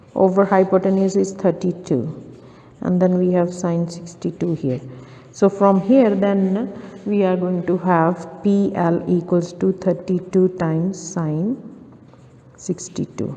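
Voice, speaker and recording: Amid noticeable background noise, a woman speaks fairly slowly at medium pitch with fairly even intonation. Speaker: maths tutor. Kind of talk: tutorial.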